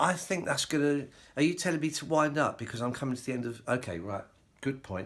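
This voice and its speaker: A man with a British accent, fairly high in pitch, with lively intonation and a fairly quick pace. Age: 60s. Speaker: hi-fi hobbyist YouTuber and novelist. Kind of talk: casual vlog talk to camera. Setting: home, filmed by a companion. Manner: hesitant, with frequent fillers.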